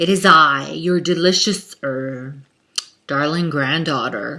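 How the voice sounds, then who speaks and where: A put-on character voice at a middle pitch, delivered at a fairly slow pace. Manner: disguised as a sweet granddaughter.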